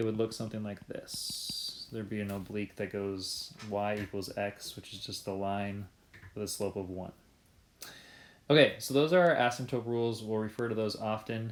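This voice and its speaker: This is an unremarkable speaking voice from a man, fairly low in pitch. He keeps a moderate pace with ordinary pitch variation. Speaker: math teacher. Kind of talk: video lesson. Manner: casual with fillers.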